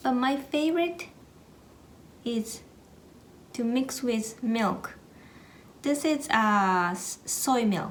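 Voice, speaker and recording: With a Japanese accent, a woman speaks at a very slow pace with long, frequent pauses, high pitch and lively intonation, amid audible room echo. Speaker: cooking vlogger. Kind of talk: tutorial. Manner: halting, with many fillers.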